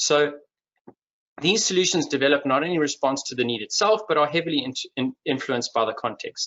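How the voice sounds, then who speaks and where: A man speaks with a Durban accent at a fairly high pitch. His pitch variation is ordinary and his pace fairly quick. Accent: Durban South African. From South Africa, Durban. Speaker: industry executive and webinar speaker. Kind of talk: webinar presentation. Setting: online webinar. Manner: hesitant, many fillers and repetitions.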